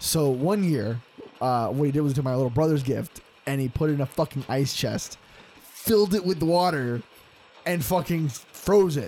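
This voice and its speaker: Fairly high male voice, upbeat and animated, at a moderate pace amid noticeable background noise. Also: ordinary pitch variation. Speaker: podcast host and aspiring voice actor. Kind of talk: casual chat. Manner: upbeat, peppy, outbursting, animated; explosive personality.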